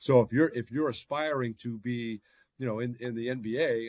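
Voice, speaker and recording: Recorded with a dry, close sound and no echo, a man speaks at a medium pitch with an American accent. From US, Boston, Massachusetts. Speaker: NBA team broadcaster. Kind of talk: podcast interview.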